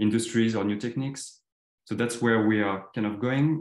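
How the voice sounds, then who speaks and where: A man with a French accent speaks with fairly even intonation. Audible room echo surrounds him over a quiet background. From western France. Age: 30s. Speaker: designer. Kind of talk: presentation. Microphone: video call.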